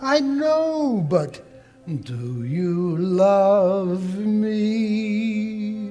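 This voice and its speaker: A man in a put-on character voice, high-pitched with very wide pitch swings. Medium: stage play. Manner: earnest, gently insistent.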